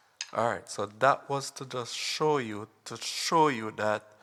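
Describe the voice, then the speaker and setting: At a very slow pace, a man with a non-native accent speaks at a medium pitch with ordinary pitch variation. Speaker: drumming tutorial youtuber. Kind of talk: tutorial. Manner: halting, with many fillers.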